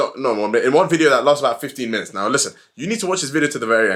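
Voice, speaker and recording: The background is silent on this very clean recording. A man talks in an animated tone. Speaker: fitness coach. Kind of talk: tutorial. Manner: fast.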